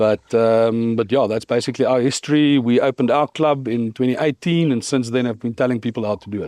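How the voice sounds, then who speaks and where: A man with a South African accent talks at a fairly quick pace in a medium pitch, his dark, mellow tone captured dry and close with no echo. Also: fairly even intonation. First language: Afrikaans. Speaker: cannabis business founder. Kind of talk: podcast interview.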